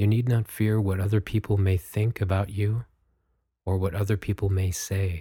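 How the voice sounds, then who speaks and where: In a very clean recording with a silent background, a man speaks at a fairly low pitch with a dark, mellow, gentle, calm tone, somewhat breathy, monotone and flat, at a very even loudness. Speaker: meditation guide podcast host. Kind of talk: guided meditation. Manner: slow, soft-spoken, calm and soothing with long pauses; gentle, measured, instructive.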